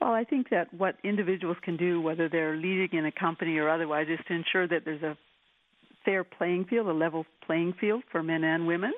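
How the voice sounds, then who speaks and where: An ordinary speaking voice at a fairly quick pace, with very even loudness and ordinary pitch variation. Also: woman, fairly low pitch for a woman. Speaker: women's equality advocate. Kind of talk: interview.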